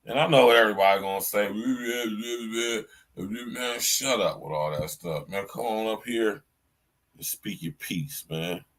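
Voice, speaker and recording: At a fairly slow pace, a man with fairly low pitch speaks with lively intonation. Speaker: podcast host. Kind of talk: solo commentary podcast. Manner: animated.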